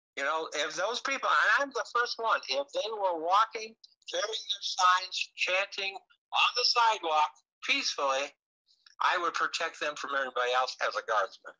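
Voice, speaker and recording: Speaking in a raised, projected voice at a moderate pace, a man with an American accent uses lively intonation and a bright, sharp tone. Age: 70s. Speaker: wrestling promoter and local TV host. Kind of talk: casual chat. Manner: halting.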